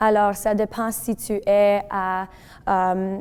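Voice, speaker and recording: The recording is very clean, and the background is silent. A woman's medium-pitched voice holds a monotone, flat intonation. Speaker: francophone community member. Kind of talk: testimony.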